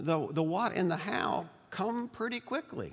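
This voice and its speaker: The speaker has a Southern US accent. He is a man. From US South. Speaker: bishop. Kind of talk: speech. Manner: halting.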